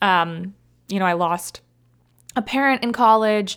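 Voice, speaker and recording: In a very clean recording with a silent background, a normal speaking voice comes through with an American accent. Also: woman. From Ohio, US Midwest. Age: 20s. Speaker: podcast host. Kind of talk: solo motivational talk.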